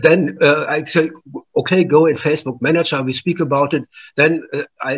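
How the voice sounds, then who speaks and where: A man with a German accent speaks at a moderate pace with ordinary pitch variation. A quiet background sits behind him. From Germany. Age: 70s. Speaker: artist and musician. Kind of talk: interview. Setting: remote call from home. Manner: halting. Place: home room. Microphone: video call.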